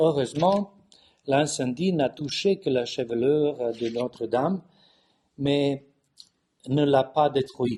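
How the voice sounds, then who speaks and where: A man's very slow speech in a Californian accent, fairly high in pitch, dark and mellow in tone, with ordinary pitch variation. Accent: Californian-tinged foreign accent in French. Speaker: bishop and theologian. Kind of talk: conference talk. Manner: halting with many hesitations.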